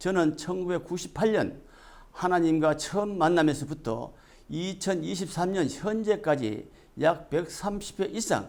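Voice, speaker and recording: A man talks very slowly at a high pitch. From South Korea. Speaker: religious messenger. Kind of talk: scripted religious address.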